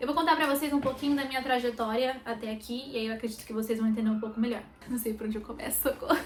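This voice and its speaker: Against noticeable background noise, a woman speaks at high pitch with fairly even intonation. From Brazil, interior of São Paulo state (Sumaré). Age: 20s. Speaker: makeup artist vlogger. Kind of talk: personal vlog. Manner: hesitant, many fillers.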